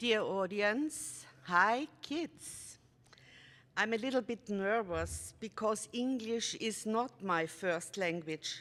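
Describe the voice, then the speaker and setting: On a very clean recording with a silent background, a woman with an Austrian accent speaks very slowly at a fairly high pitch, with lively intonation. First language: German. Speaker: storyteller. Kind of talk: concert introduction for children. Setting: stage with audience.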